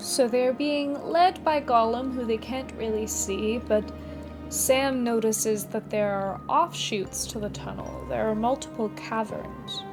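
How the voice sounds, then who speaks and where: Music in the background behind a woman's fairly slow pace. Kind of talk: casual talk to camera; storytelling reading with commentary. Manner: relaxed, conversational.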